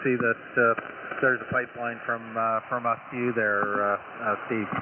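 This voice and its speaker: Against noticeable background noise, the speaker talks at a fairly slow pace with fairly even intonation. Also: man. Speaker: amateur radio operator. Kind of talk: ham radio contact. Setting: radio transmission.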